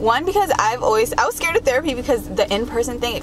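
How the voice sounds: A woman speaks with lively intonation. Background noise is clearly audible.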